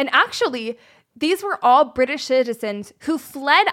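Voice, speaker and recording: A woman with an American accent speaks at a moderate pace in a high, animated voice with very wide pitch swings, on a very clean recording with a silent background. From United States. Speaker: podcast co-host. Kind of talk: storytelling history lesson.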